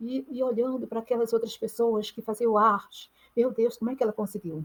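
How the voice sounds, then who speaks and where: On a very clean recording with a silent background, a woman with a fairly high pitch talks at a moderate pace. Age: 60s. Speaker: artist and mentor. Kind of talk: motivational talk. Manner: halting.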